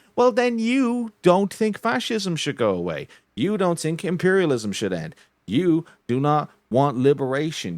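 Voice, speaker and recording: The recording is very clean, with a silent background and a dry, close sound with no echo. A man with a fairly high pitch speaks at a fairly slow pace, his pitch swinging very widely. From Ireland. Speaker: streamer and podcast co-host. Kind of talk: casual political chat. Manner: animated.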